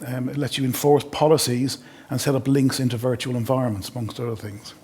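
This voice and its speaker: Over noticeable background noise, a man with an Irish accent talks at a very fast pace and a medium pitch with fairly even intonation. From Ireland. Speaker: sales engineer. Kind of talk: webinar product demo.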